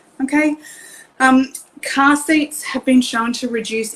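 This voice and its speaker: Speaking with an Australian accent, a woman uses a high pitch and lively intonation at a fairly slow pace. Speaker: car seat safety technician. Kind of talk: live stream presentation. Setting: online live video. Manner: hesitant with many fillers.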